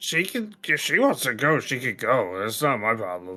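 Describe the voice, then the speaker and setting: A man puts on a raspy character voice at a medium pitch, speaking at a moderate pace. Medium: actual play. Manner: blunt, impatient.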